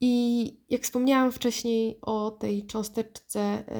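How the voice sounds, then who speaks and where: A woman speaks in a monotone, flat intonation with a dark, mellow tone. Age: 30s. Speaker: podcast host and dating advice author. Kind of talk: solo podcast monologue. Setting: sitting at a desk.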